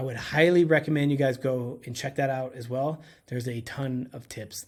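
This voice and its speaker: In a normal speaking voice, the speaker talks at a moderate pace with ordinary pitch variation and big swings in loudness. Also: man. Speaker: short-term rental host and coach. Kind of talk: tutorial. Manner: casual, conversational.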